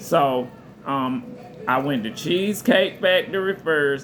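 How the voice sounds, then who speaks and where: A man's fairly high-pitched voice with lively intonation, at a fairly slow pace amid noticeable background noise. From US South, southern Georgia. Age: 40s. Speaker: restaurant server, vlogger. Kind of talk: casual storytelling vlog.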